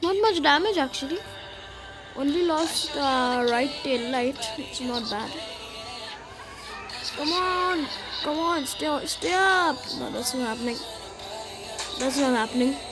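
Music plays in the background as a woman speaks at a very slow pace. Her pauses are long and frequent. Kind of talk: gameplay commentary.

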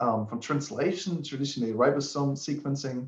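A man talks at a fairly quick pace. There is audible room echo and the background is quiet. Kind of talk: lecture. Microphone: webcam.

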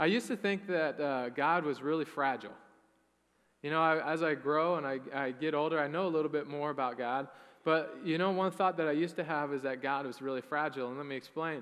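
His pace is fairly quick. The man's pitch varies in an ordinary way. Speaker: pastor. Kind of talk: sermon. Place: church. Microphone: headset.

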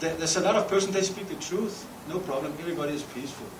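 Amid noticeable background noise, a man speaks at a high pitch and a fairly quick pace with ordinary pitch variation. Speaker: speaker. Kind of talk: panel discussion talk. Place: hall. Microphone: podium.

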